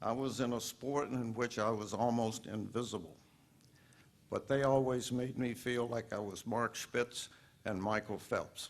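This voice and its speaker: A man at medium pitch with an American accent, in a monotone, flat intonation, at a fairly slow pace. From Virginia. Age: 80s+. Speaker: hall of fame inductee, former swimmer. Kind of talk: acceptance speech. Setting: induction ceremony with audience.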